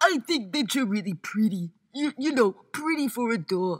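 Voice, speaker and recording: Using a cartoonish character voice, a woman talks at a moderate pace with a fairly high pitch. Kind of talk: animation voice-over. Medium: voice reel. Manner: awkward, earnest.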